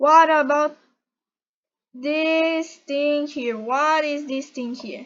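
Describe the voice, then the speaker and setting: This woman speaks with a Portuguese accent and ordinary pitch variation. Her pace is very slow. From Brazil. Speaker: YouTuber. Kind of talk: tutorial. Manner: halting.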